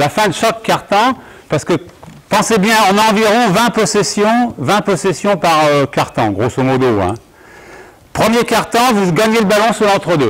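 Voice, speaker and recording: A man speaks at a fairly slow pace. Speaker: basketball coach. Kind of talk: coaching clinic demonstration. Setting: gym court with audience, no handheld mic. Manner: loud. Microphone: no microphone, only a recorder mic.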